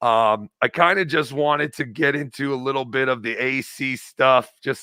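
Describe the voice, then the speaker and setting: A man's bright, sharp tone at a medium pitch, with ordinary pitch variation and a moderate pace. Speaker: call-in show host. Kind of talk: live call-in show chat. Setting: live stream. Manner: casual, rambling.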